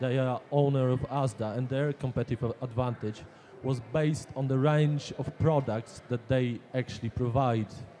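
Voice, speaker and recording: Over noticeable background noise, a man with a non-native accent talks at a moderate pace in a medium pitch with fairly even intonation. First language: Polish. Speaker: audience member. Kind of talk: audience question.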